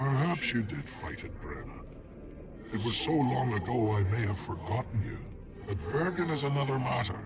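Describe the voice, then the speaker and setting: A man puts on a character voice at medium pitch. Loud background noise runs behind him. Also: moderate pace. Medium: game stream. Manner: measured, formal.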